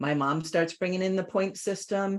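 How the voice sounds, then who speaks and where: A woman with a normal speaking voice talks at a moderate pace in a fairly low pitch, on a very clean recording with a silent background. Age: 60s. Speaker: life coach.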